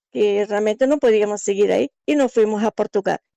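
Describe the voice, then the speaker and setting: A woman speaks in a normal speaking voice, fairly high in pitch with ordinary pitch variation. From Angola. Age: 60s. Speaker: migrant sharing her life story. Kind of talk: interview testimony.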